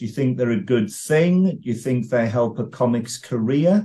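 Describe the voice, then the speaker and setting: A man speaks in a dark, mellow tone that is somewhat breathy. His intonation is lively. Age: 50s. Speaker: podcast host and comedy blogger; podcast host, comedy blogger. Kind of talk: interview. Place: home room. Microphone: video call.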